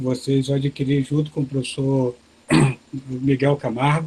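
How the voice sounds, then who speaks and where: With music in the background, a soft-spoken man talks at a fairly slow pace in a monotone, flat intonation. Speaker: professor of agronomy giving a webinar talk. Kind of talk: lecture. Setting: video call webinar.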